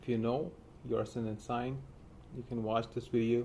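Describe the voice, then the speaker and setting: The speaker is a man. He talks with an Indian accent. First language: Hindi. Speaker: astrologer. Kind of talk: astrology forecast monologue. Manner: halting, many fillers.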